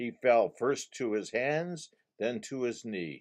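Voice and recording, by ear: Over a quiet background, someone is reading aloud in a natural voice, the intonation lively.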